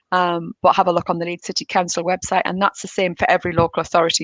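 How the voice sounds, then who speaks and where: A woman at a medium pitch is heard in a dry, close sound with no echo and a quiet background. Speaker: local council officer. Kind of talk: presentation and Q&A. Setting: online livestreamed event. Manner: fast.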